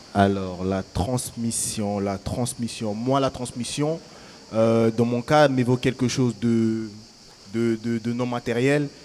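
A normal speaking voice from a man, medium in pitch, with fairly even intonation. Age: young. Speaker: young festival participant. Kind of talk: live public radio panel chat.

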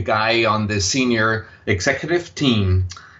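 A man with an Austrian accent speaks at a medium pitch, his pitch rising and falling in an ordinary way. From Austria, Vienna. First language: German. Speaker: impact investor. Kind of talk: interview. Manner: hesitant, many fillers.

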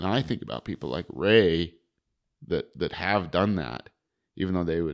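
Very deep and low, a man's voice carries vocal fry, lively intonation and an American accent at a fairly quick pace. The recording is very clean over a silent background. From US West, Wind River Reservation, Wyoming. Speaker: fishing guide and psychologist. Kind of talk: casual interview.

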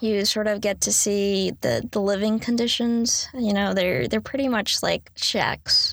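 A woman's fairly high voice with an American accent, fairly even intonation and a fairly slow pace, on a very clean recording with a silent background. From US South, Raleigh, North Carolina. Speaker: university student. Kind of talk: casual talk with slide presentation. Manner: halting, many fillers.

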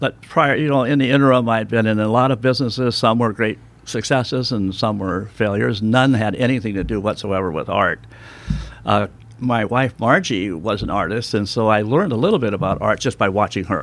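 A man with an American accent and an unremarkable speaking voice, medium pitch, ordinary pitch variation and a fairly quick pace. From United States. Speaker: artist. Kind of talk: interview. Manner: casual, chatty.

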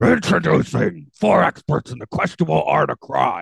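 A man's gruff, raspy, put-on character voice, fairly low in pitch, at a moderate pace. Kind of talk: announcer.

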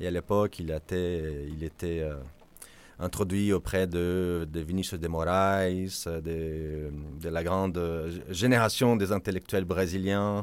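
The recording is very clean with a silent background as a man speaks at a very deep, low pitch. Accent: Portuguese. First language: Portuguese (speaking French). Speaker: ocean foundation advocacy director. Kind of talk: interview. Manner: halting with repetitions.

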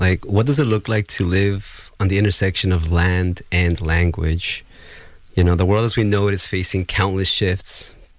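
This man's voice is very deep and low, with fairly even intonation at a moderate pace. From Ecuador. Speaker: language justice activist. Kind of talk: radio panel discussion. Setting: studio.

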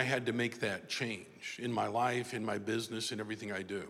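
Noticeable background noise and audible room echo surround a man who speaks fairly quickly in an American accent. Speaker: motivational speaker and author. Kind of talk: speech.

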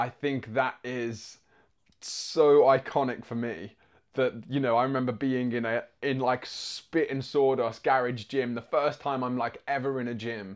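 A man speaks with an English accent at medium pitch. His pace is fairly slow and his intonation fairly even. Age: 20s. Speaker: musical theatre actor. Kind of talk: interview.

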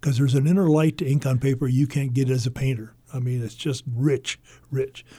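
A man with an American accent talks at a fairly quick pace in a medium pitch. His voice is dark, mellow and somewhat breathy, with fairly even intonation. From Iowa, US Midwest. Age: 80s+. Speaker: painter. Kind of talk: interview. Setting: radio studio.

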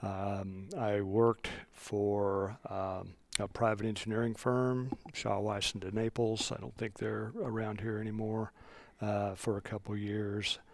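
With a Midwestern American accent, a man speaks fairly slowly at a fairly low pitch in a monotone, flat delivery. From Kansas, Johnson County. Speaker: county road engineer. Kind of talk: interview. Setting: public works office.

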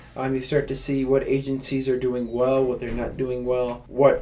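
Through audible room echo, a dark, mellow tone comes across with an American accent at a fairly quick pace. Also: man. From US South. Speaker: nonprofit co-founder. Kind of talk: interview.

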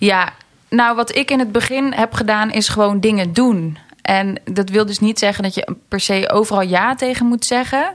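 This woman has an ordinary speaking voice, pitched fairly high. She talks at a moderate pace with ordinary pitch variation. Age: 20s. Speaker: entrepreneur, personal development coach. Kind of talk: casual interview.

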